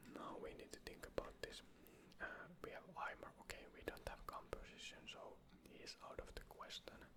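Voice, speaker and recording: Someone whispers in a relaxed tone at a moderate pace with noticeable background noise. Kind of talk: casual gaming commentary, draft challenge talk to camera. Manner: whispered, relaxed.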